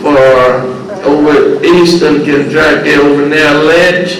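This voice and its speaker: A man with an American accent and a high pitch speaks at a very slow pace, with audible room echo and noticeable background noise. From southern West Virginia coal fields, Wyoming County. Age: 80s+. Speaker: blues musician and former coal miner. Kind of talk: interview.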